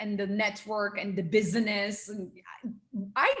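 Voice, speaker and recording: In a room with audible echo, a woman with a Turkish accent speaks at a moderate pace and a fairly high pitch. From small town in Turkey. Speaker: NLP coach and trainer. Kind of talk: interview. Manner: animated.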